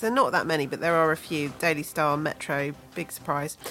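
Very fast, animated woman's voice against noticeable background noise. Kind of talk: jokey banter played along with the host's radio patter, a mock-formal show intro. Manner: mischievous, animated and giggly, with a wry, gently sarcastic tone.

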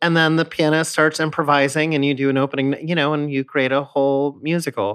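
Dry and close with no echo, the recording has a man with an American accent in an unremarkable speaking voice, pitched fairly high, talking at a fairly quick pace with fairly even intonation and hardly any pauses. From US West Coast, San Diego. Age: 30s. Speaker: Broadway actor. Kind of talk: casual chat.

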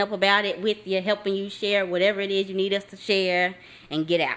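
A woman speaks fairly quickly at a medium pitch in an unremarkable speaking voice. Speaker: podcast host. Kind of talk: casual chat, interview.

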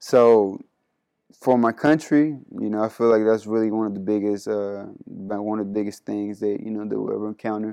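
With a dark, mellow tone and fairly even intonation, the voice moves at a moderate pace over a quiet background. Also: man, fairly low pitch for a man. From Panama. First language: Spanish. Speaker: college basketball player. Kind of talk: interview.

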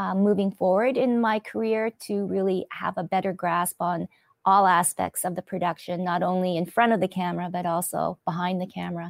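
In a plain, everyday voice with a Canadian accent, a woman at medium pitch speaks at a fairly quick pace with hardly any pauses and fairly even intonation, the recording very clean with a silent background and a dry, close sound with no echo. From Canada, Winnipeg. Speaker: TV host and podcaster. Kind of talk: interview.

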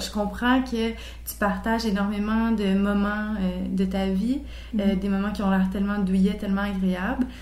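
Somewhat breathy and at a medium pitch, a woman talks at a fairly slow pace with fairly even intonation, and audible room echo surrounds her. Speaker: podcast host. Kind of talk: interview.

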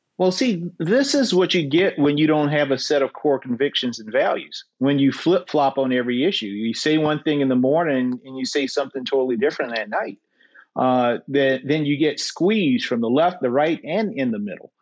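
Against a quiet background, a man with an American accent and a fairly high pitch talks at a moderate pace with lively intonation and hardly any pauses. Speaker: Senate candidate. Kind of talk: interview. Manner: halting.

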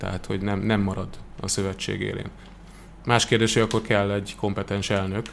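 With monotone, flat intonation, a man speaks at a fairly low pitch and a fairly quick pace, leaving long, frequent pauses. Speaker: sports TV commentator. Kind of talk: casual chat.

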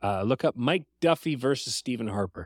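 In a very clean recording with a silent background and a dry, close sound with no echo, a man with a plain, everyday voice talks fairly quickly with lively intonation. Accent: Canadian. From Canada. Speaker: musician and podcast guest. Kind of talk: casual chat.

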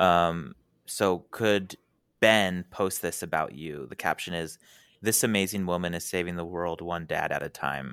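The speech comes at a fairly slow pace on a very clean recording with a silent background. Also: man, very deep, low pitch for a man, ordinary pitch variation. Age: 20s. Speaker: podcast guest. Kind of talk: casual chat.

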